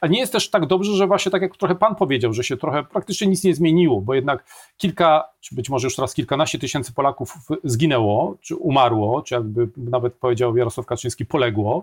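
A man with a fairly high pitch talks very fast, somewhat breathy, with lively intonation. The sound is dry and close with no echo, on a very clean recording with a silent background. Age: 50s. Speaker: political scientist. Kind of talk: interview.

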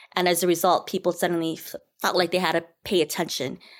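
At a fairly quick pace, a woman with an American accent and a fairly low pitch has an ordinary speaking voice on a very clean recording with a silent background. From Minnesota, US. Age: 40s. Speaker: writer and performer. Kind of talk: casual chat.

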